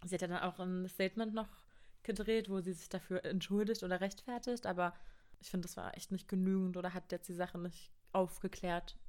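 A woman's medium-pitched, monotone, flat voice at a fairly quick pace, with big swings in loudness. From Brandenburg, eastern Germany (Cottbus). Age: 20s. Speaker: university student. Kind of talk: casual chat.

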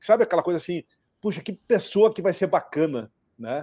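Recorded very cleanly against a silent background, a man with a normal speaking voice talks at a moderate pace with lively intonation. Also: dry, close sound with no echo. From Rio Grande do Sul, Brazil (Cruz Alta). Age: 50s. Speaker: career and employability consultant. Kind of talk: casual live-stream interview.

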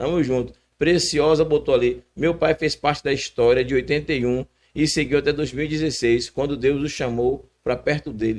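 With fairly even intonation and a fairly slow pace, a man speaks in an unremarkable speaking voice that sits fairly high in pitch. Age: young. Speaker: podcast co-host. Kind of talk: casual chat.

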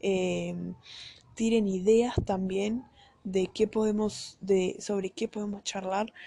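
Speaking very slowly, a woman uses a medium pitch and a dark, mellow tone. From Brazil and Uruguay. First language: Portuguese (speaking Spanish). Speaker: podcast host. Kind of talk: casual monologue. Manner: animated.

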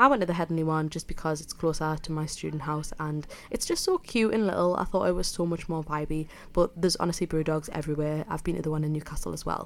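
A woman with a Geordie accent, very deep and low in pitch, fairly even in intonation, at a very fast pace. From northern England, South Shields (Tyneside). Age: 20s. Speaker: student radio podcast host. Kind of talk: casual solo podcast talk. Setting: student radio studio.

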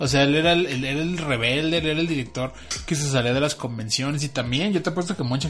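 A man with a Mexican accent at a very fast pace, fairly high pitch and ordinary pitch variation, music in the background. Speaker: podcast co-host. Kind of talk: casual chat.

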